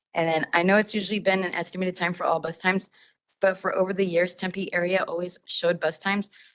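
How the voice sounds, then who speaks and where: Very fast and monotone, with flat intonation, a woman speaks at a medium pitch. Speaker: public commenter at transit meeting. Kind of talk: public comment. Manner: loud.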